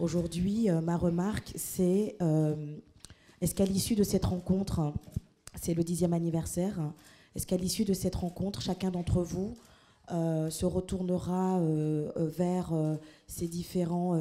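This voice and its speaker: A woman's fairly low voice, dark and mellow in tone, at a fairly slow pace with monotone, flat intonation. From France. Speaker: audience member. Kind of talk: public Q&A remark. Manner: hesitant, many fillers.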